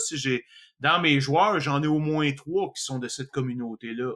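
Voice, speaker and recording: Bright and sharp in tone, a man talks at a moderate pace in a fairly high pitch with ordinary pitch variation. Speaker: podcast host. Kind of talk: casual chat.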